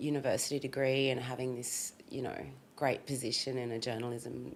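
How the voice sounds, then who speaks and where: With an Australian accent, a woman speaks at a moderate pace in a very deep, low pitch and a monotone, flat intonation. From Australia, Sydney (Fairfield, western suburbs). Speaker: rapper, stylist and hotelier. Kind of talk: casual chat.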